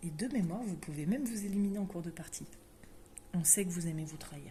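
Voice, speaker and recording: With noticeable background noise and audible room echo, a woman speaks at a fairly quick pace, her fairly low pitch showing ordinary variation. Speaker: board game shop presenter. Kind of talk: casual product presentation. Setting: game shop.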